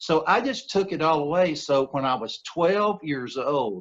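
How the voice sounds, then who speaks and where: Lively intonation from a male speaker with an American accent. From US Gulf Coast, Mobile, Alabama. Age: 60s. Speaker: recording studio owner and former country musician. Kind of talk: interview, life story.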